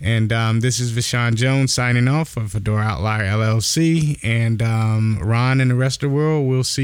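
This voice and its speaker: A man with an unremarkable speaking voice talks at a moderate pace with hardly any pauses, a medium pitch, ordinary pitch variation and very even loudness. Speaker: podcast host.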